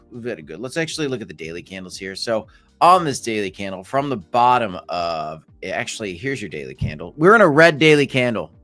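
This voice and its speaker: Fairly quick speech with very wide pitch swings and big swings in loudness, over music in the background. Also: man, medium pitch for a man. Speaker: crypto YouTuber. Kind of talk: casual live stream commentary. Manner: animated.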